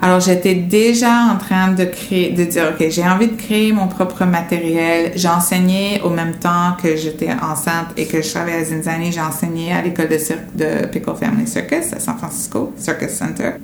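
A woman's fairly low voice at a fairly slow pace, with hardly any pauses and ordinary pitch variation, amid noticeable background noise and audible room echo. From United States. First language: English (speaking French). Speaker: circus artist. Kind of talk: interview testimony.

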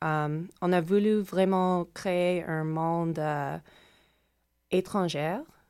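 A woman's fairly low, dark and mellow voice in an English accent, with ordinary pitch variation, on a very clean recording with a silent background. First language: English (speaking French). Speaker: dance choreographer. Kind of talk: radio interview.

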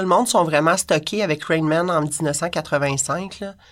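This woman has a plain, everyday voice with a fairly low pitch, captured on a very clean recording with a silent background. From Quebec, Montreal-Laval area. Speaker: punk culture writer and online community moderator. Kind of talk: casual interview.

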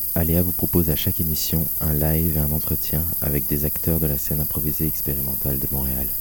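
In a monotone, flat intonation, a man with a very deep, low pitch talks at a fairly quick pace with hardly any pauses. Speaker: radio host interviewing musicians. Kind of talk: radio interview. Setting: studio with live music.

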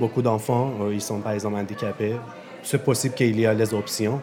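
Over music in the background, a man talks at a fairly quick pace in a monotone, flat delivery at a medium pitch. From Iran. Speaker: refugee, LGBTQ activist. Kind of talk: testimony. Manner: halting.

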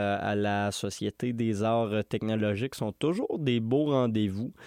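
With a Quebec accent, a man speaks at a fairly slow pace in a dark, mellow tone against a quiet background. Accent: Québécois French. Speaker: radio host. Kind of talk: radio music show presenting. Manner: casual with frequent filler hesitations.

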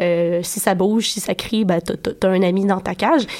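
This woman's voice carries ordinary pitch variation. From Quebec City. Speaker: radio columnist. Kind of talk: casual radio chat. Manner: halting, many repetitions.

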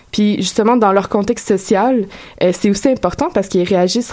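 A woman speaks with ordinary pitch variation, and noticeable background noise is audible behind her. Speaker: radio columnist. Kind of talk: radio segment on community station.

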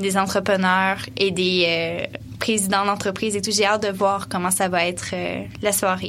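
At a fairly slow pace, a woman speaks in a medium pitch. Her intonation is monotone and flat, and the room echo is audible. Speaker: event coordinator. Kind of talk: radio interview.

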